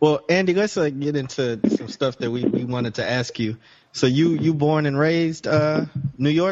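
Speaking at a moderate pace, a man with a fairly high pitch and ordinary pitch variation has a plain, everyday voice. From Chicago. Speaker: podcast host. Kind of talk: casual chat.

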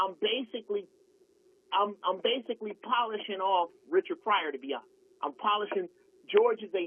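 With ordinary pitch variation, this man's voice sits high. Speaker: comedian. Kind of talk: casual chat. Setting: phone call. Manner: animated.

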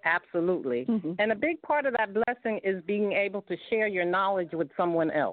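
The delivery runs at a fairly quick pace with hardly any pauses, lively intonation, and very even loudness. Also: man, high pitch for a man. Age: 70s. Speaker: reverend and author. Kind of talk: call-in comment. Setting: phone call.

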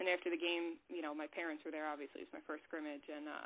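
A woman talks at a very fast pace. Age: 20s. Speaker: mental health counselor. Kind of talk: casual interview.

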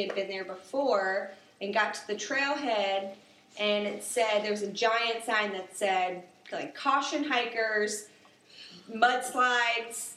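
There is audible room echo and noticeable background noise as a woman speaks with ordinary pitch variation. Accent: American. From South Carolina, Summerville near Charleston. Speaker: animal clinic worker. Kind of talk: casual chat.

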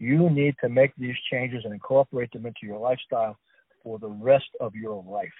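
A man with an American accent and a plain, everyday voice speaks at a medium pitch. His intonation is fairly even, his pace fairly quick, and his loudness swings widely. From New Jersey. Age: 60s. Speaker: author and food scientist. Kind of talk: radio interview. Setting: phone call.

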